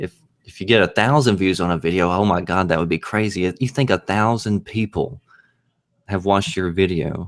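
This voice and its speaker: The speaker is a man with a very deep, low pitch and ordinary pitch variation. He talks at a fairly quick pace. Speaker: YouTuber. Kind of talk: casual chat. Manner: halting.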